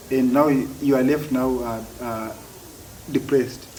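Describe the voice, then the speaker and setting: Noticeable background noise surrounds a man's voice. Audible room echo is present too. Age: adult. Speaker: stammering advocate. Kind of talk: interview. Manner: halting, repeated words.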